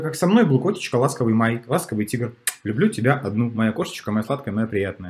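A man with vocal fry talks at a moderate pace, his pitch swinging very widely. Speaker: relationship commentator. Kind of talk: commentary. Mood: animated, opinionated. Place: home room. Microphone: webcam.

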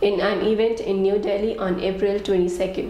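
A woman at medium pitch and a fairly slow pace, with noticeable background noise. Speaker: news anchor. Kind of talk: news reading. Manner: formal; steady, brisk headline delivery.

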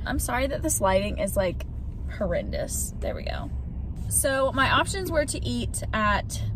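A woman is speaking. The sound is dry with no echo, but background noise is noticeable. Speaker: vlogger. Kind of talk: casual vlog chat. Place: car. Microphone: phone near.

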